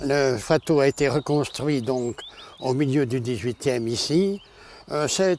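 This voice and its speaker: The man talks very slowly throughout. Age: 80s+. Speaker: painter and sculptor, retired aviator. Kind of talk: interview. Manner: hesitant, with frequent pauses.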